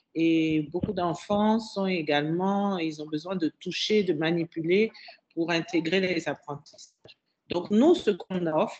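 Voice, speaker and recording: A woman's fairly low voice, very slow in pace, with ordinary pitch variation. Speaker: school director. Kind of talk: radio interview.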